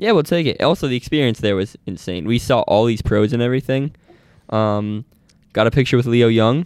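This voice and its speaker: A man with a normal speaking voice, medium in pitch with ordinary pitch variation, at a fairly quick pace, on a very clean recording against a silent background. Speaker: podcast host, college runner. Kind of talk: casual podcast chat.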